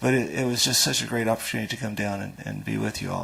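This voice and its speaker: Male speech with audible room echo, plus noticeable background noise. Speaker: foundation agriculture official, conference speaker. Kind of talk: conference talk. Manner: halting, repetitive.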